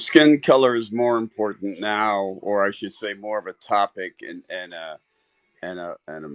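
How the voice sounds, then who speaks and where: A man with an unremarkable speaking voice and a fairly low pitch talks at a moderate pace with ordinary pitch variation, heard in a very clean recording with a silent background and a dry, close sound with no echo. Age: 60s. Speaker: caller. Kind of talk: casual discussion.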